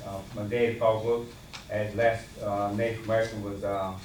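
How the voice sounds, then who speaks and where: With a North Carolina accent, a man with a fairly low pitch speaks at a moderate pace in a flat, monotone way, with noticeable background noise and audible room echo. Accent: Southern US, North Carolina. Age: 60s. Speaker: member of the public. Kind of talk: public comment. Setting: county board meeting. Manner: halting.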